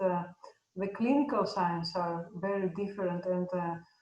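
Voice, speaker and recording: A woman speaks with a Greek accent at a fairly slow pace. Her intonation stays fairly even. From Greece. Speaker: veterinary professor. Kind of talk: podcast interview. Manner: halting.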